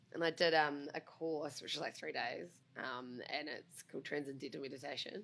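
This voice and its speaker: A woman's very deep, low-pitched voice at a moderate pace, with ordinary pitch variation. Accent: New Zealand. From New Zealand. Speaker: breakfast radio co-host. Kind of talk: casual chat.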